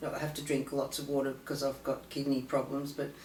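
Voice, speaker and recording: A woman with an Australian accent is heard with audible room echo and noticeable background noise. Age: 60s. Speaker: patient sharing personal story. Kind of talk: testimony. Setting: conference, filmed. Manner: halting, many fillers.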